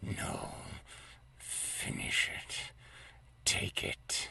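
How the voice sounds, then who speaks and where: A man puts on a character voice, whispering and growling against light background noise. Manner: urgent, tempting.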